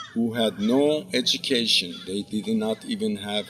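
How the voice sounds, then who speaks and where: A man with an Azerbaijani accent speaks at a medium pitch and a fairly slow pace. His pitch moves in an ordinary way. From Iran (Zanjan, northwest). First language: Azerbaijani Turkish. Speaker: professor. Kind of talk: commencement speech.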